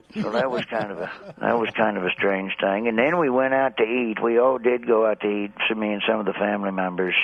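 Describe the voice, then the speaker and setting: A man with an American accent speaks fairly quickly, in a fairly low voice, with hardly any pauses and ordinary pitch variation. Noticeable background noise sits behind him. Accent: rural Southern American, redneck. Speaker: stand-up comedian. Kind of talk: comedic radio interview banter.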